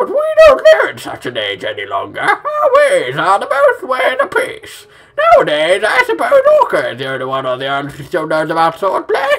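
Using a put-on character voice, a man talks at a moderate pace. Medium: solo performance. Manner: warm, gently coaxing.

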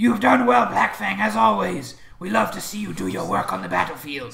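A man performs a put-on character voice at a fairly high pitch. His pitch swings very widely at a moderate pace. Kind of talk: courtly, praising a warrior.

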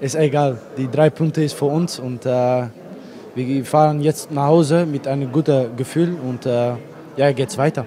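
Speaking at a fairly slow pace, a man has a Dutch accent and fairly even intonation. Light background noise runs underneath. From Netherlands. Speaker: footballer. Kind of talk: post-match interview. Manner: halting. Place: stadium. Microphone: handheld.

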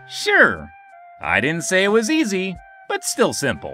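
A man's put-on character voice, high-pitched and fairly slow, over clear music in the background. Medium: dub. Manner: upbeat.

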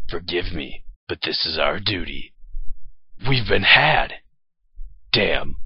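Using a put-on character voice, a man speaks at a fairly slow pace. His pitch is very deep and low. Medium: dub.

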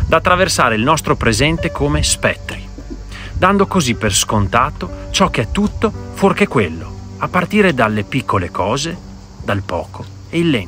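A man at a moderate pace with very wide pitch swings and long, frequent pauses, dry sound with no echo, and music in the background. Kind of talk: reflective monologue. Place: waterside. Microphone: phone near.

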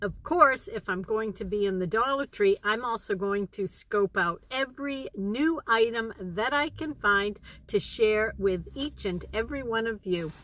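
A woman speaks at a fairly slow pace. The sound is dry, with no echo. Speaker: shopping vlogger. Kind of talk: casual vlog chat. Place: car. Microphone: phone near.

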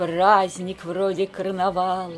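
With music in the background, a woman speaks at a very slow pace and a medium pitch. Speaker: priest's wife, reader of poems on a religious channel. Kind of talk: poetry reading.

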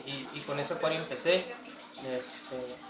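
There is noticeable background noise behind a man's fairly high voice. His intonation stays fairly even. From northern Mexico (Tijuana, Baja California; born in Sonora). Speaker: aquarium hobbyist and cook. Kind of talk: casual interview. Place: home room. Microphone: camera far.

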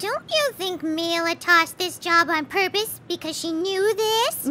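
A cartoonish character voice at an extremely high pitch and moderate pace, with clear background noise.

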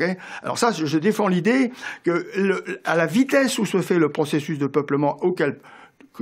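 Here a man talks in a high voice with very wide pitch swings. His pace is moderate and the background is quiet. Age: 70s. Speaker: economist; guest. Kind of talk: radio interview. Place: studio. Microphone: studio mic.

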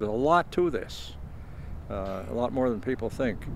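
A man at a moderate pace with lively intonation, in a dry sound with no echo over noticeable background noise. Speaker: cemetery volunteer. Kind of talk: interview answer. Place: open country. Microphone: handheld.

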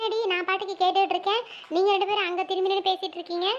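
Squeaky and cartoonish, this character voice runs at a fairly quick pace with monotone, flat intonation and very even loudness. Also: woman, extremely high pitch for a woman. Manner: warm but chiding.

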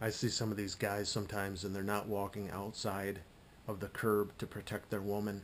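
Fairly low male voice over light background noise. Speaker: vlogger. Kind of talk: casual vlog chat. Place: home room. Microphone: webcam.

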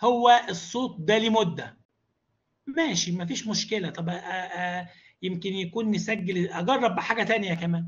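Speaking with an Egyptian accent, a man keeps a moderate pace, high pitch and ordinary pitch variation. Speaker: university lecturer and e-learning trainer. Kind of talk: online training tutorial.

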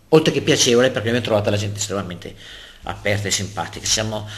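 A man speaks at a very fast pace with fairly even intonation. His voice is somewhat breathy. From Lombardy, northern Italy. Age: 60s. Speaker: local politician. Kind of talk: interview. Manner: talkative.

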